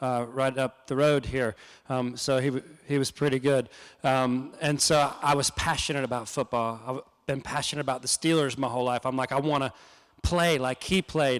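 A man with an American accent, fairly even intonation, moderate pace, quiet background. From North and South Carolina. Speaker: humanitarian nonprofit founder; guest lecturer. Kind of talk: lecture. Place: church. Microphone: handheld.

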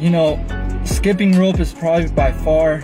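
Clear music in the background behind a man at a moderate pace. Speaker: fitness vlogger. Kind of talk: casual vlog chat. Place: car. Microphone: phone near.

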